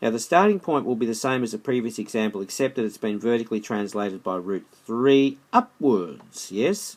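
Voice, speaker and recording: Speaking with an Australian accent, a man keeps a medium pitch with ordinary variation, a moderate pace and hardly any pauses. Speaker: maths teacher. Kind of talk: tutorial. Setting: screencast recording. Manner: halting, self-correcting.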